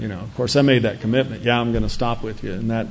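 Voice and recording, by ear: A man talks at a fast pace with vocal fry and fairly even intonation, with audible room echo around him. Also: medium pitch for a man.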